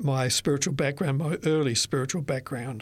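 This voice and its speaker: A man with an Australian accent, fairly high in pitch with ordinary pitch variation, on a very clean recording with a silent background. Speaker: retired author. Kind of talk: interview. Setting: studio. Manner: halting.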